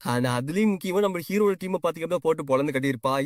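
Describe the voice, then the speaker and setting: On a very clean recording with a silent background, a man talks with lively intonation. He has an ordinary speaking voice. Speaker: manhwa story explainer. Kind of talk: casual story recap narration. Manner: casual, conversational.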